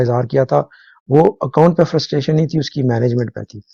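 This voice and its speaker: A man's somewhat breathy, fairly high voice, dark and mellow in tone, with fairly even intonation. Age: 60s. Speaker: current affairs commentator. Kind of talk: live talk show discussion. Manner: halting, many fillers.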